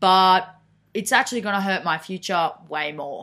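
With an Australian accent, the speaker sounds animated, bright and sharp at a fairly slow pace on a very clean recording with a silent background. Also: woman. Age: 20s. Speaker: podcast host. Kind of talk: casual monologue.

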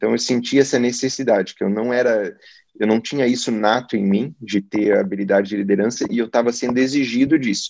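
A normal speaking voice from a man, medium in pitch, with ordinary pitch variation and a fairly quick pace. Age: 40s. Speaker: oncologist. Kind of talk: interview.

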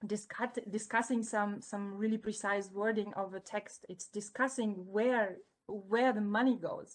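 A woman with a non-native accent speaks fairly slowly in a fairly high voice, her intonation monotone and flat. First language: not English. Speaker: student parliament member. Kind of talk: interview.

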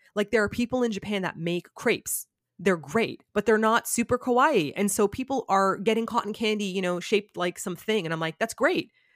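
The speaker has a Canadian accent and a normal speaking voice, with ordinary pitch variation. The pace is fairly quick with hardly any pauses, in a dry, close sound with no echo. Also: woman, medium pitch for a woman. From Canada (Toronto). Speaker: YouTuber. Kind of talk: casual chat. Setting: video call.

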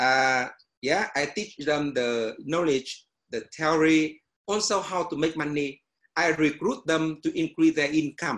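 With a Vietnamese accent, a man speaks at a fairly slow pace in a fairly high voice with ordinary pitch variation. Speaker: meditation teacher and education businessman. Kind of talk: casual panel discussion. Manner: halting, hesitant phrasing.

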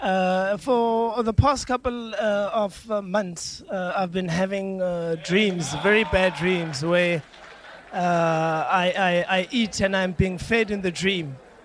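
Over noticeable background noise, a man with a high pitch talks very slowly with ordinary pitch variation. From South Africa. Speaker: congregant giving testimony. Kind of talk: testimony. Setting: church. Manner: halting.

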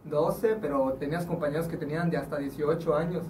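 Audible room echo and noticeable background noise surround this man as he talks. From Juchitán, Oaxaca, Mexico. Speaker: rapper. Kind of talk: casual chat.

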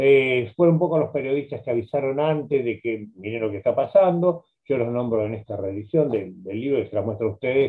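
Speaking at a moderate pace, a man has an ordinary speaking voice at medium pitch, with lively intonation. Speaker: journalist and biographer. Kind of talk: interview.

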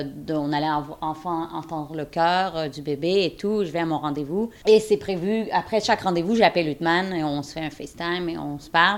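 Her intonation fairly even, a woman speaks at a fairly slow pace and a fairly low pitch. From Quebec. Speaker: surrogate mother. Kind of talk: testimony.

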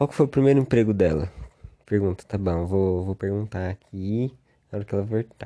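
Over a quiet background, a man with a dark, mellow tone uses lively intonation, the sound dry and close with no echo. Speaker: podcast host. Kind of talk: casual chat.

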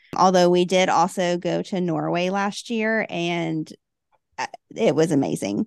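Speaking at a fairly slow pace in a Southern US accent, a woman uses a fairly low pitch with ordinary pitch variation. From US South, Huntsville, Alabama. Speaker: travel book blogger. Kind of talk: interview.

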